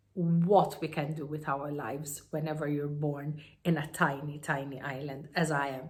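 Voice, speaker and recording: A woman with a Maltese accent speaks amid audible room echo. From Malta. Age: 50s. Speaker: entrepreneur and self-help speaker. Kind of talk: personal story monologue. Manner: halting with many fillers.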